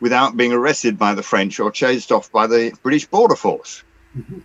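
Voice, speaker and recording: With an English accent, a man speaks in a bright, sharp tone and lively intonation. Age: 70s. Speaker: sailor and former yachting magazine columnist. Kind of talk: interview answer. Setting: video call.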